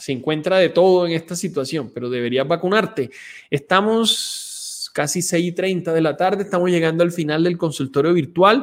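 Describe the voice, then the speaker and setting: At a moderate pace, a man speaks with a high pitch. His pitch varies in an ordinary way. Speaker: pulmonologist doctor. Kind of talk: live medical Q&A stream.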